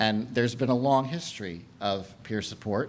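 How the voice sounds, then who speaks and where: Set in audible room echo, a man speaks at a fairly low pitch. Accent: American. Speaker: conference speaker. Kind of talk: lecture. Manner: fast.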